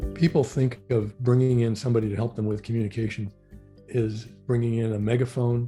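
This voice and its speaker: Over music in the background, a man speaks at a fairly quick pace and medium pitch with fairly even intonation. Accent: Pacific Northwest. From Portland, Oregon. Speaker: former legislative chief of staff and tech lobbyist. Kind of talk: oral history interview answer.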